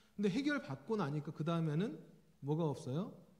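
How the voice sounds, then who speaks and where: A man speaks at a moderate pace with lively intonation and a dark, mellow tone. Room echo is audible. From South Korea, Jeolla region. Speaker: pastor, preaching professor. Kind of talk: sermon. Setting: church. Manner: conversational, with frequent fillers.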